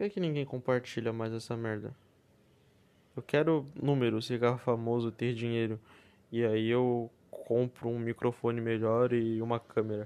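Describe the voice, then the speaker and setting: Soft-spoken and dark, mellow in tone, the voice moves at a moderate pace with monotone, flat intonation and big swings in loudness. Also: man, medium pitch for a man. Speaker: podcast host. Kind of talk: casual monologue. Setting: at home, others nearby. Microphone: close to the mic.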